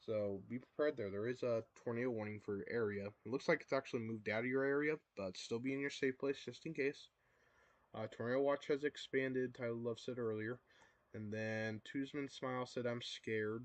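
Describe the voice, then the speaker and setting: Speaking quietly, a man goes at a fairly quick pace with a medium pitch. His intonation is fairly even. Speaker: storm-tracking livestreamer. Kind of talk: live storm coverage reading chat. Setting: livestream. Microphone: too quiet.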